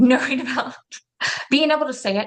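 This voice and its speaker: The woman's tone is animated. She shows ordinary variation in pitch. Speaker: business coach. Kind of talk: webinar sales pitch.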